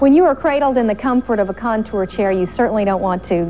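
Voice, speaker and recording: A woman's upbeat voice at a fairly quick pace, with very wide pitch swings and faint music in the background. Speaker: infomercial host. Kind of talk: TV commercial read. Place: studio.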